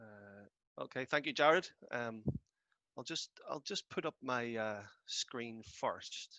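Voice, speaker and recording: The man's voice carries a bright, sharp tone. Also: dry, close sound with no echo. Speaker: financial tax expert. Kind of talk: webinar presentation. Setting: video call webinar. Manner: halting, many fillers.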